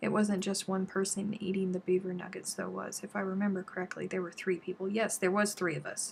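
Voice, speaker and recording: Barely pausing, a woman with an American accent speaks at a fairly quick pace in a somewhat breathy, medium-pitched voice with monotone, flat intonation. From South Carolina. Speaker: crochet YouTuber. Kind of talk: casual live-stream chat while crafting. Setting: YouTube live stream.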